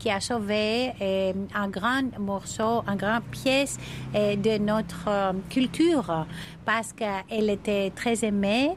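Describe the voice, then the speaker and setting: With a Greek accent, a woman speaks very slowly at a fairly high pitch with ordinary pitch variation. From Crete, Greece. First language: Greek (speaking French). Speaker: deputy mayor for tourism. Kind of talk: interview. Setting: outdoors. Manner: halting.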